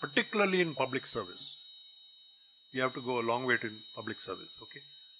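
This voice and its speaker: A man with a Tamil accent speaks in a fairly high pitch with lively intonation over noticeable background noise. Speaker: guest lecturer, business executive. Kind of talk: lecture. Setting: college campus lecture hall.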